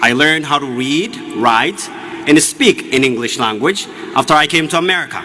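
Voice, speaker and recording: A man with a fairly high pitch, lively intonation and a moderate pace, with music in the background. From Ethiopia, Oromia. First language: Oromo. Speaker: graduating student speaker. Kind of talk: commencement speech. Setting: stage with audience.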